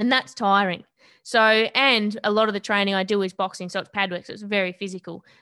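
With an Australian accent, a woman speaks at a medium pitch and a fairly quick pace, in a bright, sharp tone with fairly even intonation. Her loudness swings widely against a quiet background. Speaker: boxer and personal trainer. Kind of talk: interview conversation.

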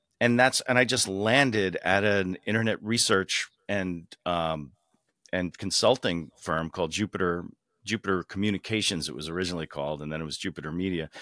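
A man with an American accent speaks at a very deep, low pitch in a bright, sharp tone, at a fairly quick pace with ordinary pitch variation. The sound is dry and close with no echo, on a very clean recording with a silent background. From New York suburbs, US. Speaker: automotive journalist and media executive. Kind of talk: interview conversation.

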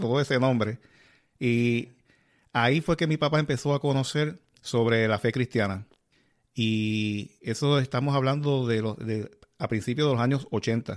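In a very clean recording with a silent background, a man speaks at a medium pitch and fairly slow pace. His pitch variation is ordinary, his loudness very even, and his pauses long and frequent. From Puerto Rico, Yabucoa. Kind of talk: casual religious interview.

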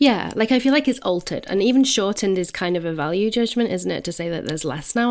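A woman with a plain, everyday voice at medium pitch speaks at a fairly quick pace with lively intonation. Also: very clean recording, silent background. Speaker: podcast co-host. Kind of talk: casual advice chat.

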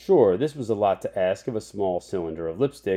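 A man's dark, mellow voice at a fairly low pitch and fairly slow pace, against a quiet background. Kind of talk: literary audiobook reading, read aloud in a storyteller's narration. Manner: measured, expressive narrator voicing dialogue and whimsical wordplay.

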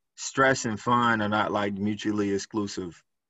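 His pitch is fairly low. The man has an American accent. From Chicago, inner city. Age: 30s. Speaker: technology recruiter. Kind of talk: interview. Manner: energetic.

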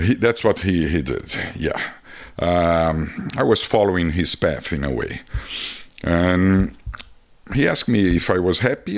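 A man's very deep, low voice with a Brazilian accent, animated in tone and lively in intonation. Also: fairly slow pace. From Brazil (Rio de Janeiro). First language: Portuguese. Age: 50s. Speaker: photographer and traveler. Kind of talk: casual interview conversation. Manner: animated storyteller, laughs often.

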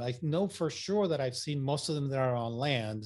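Medium in pitch and somewhat breathy, a man speaks at a fairly quick pace with ordinary pitch variation. The recording is very clean, with a silent background. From Puerto Rico, then Massachusetts. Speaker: landscape and wildlife photographer, workshop leader. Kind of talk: interview, casual chat.

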